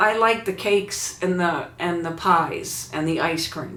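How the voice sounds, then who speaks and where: Amid noticeable background noise and audible room echo, a woman with a medium pitch talks at a fairly slow pace. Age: 70s. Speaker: YouTuber. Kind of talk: casual vlog talk.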